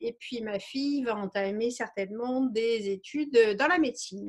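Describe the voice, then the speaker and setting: In a plain, everyday voice, a woman speaks fairly slowly at a fairly high pitch with ordinary pitch variation. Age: 40s. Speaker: real estate agent. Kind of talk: interview.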